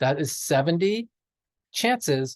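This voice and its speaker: A man's somewhat breathy voice carries lively intonation in a dry, close sound with no echo and a quiet background. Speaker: math teacher. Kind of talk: lecture. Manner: fast.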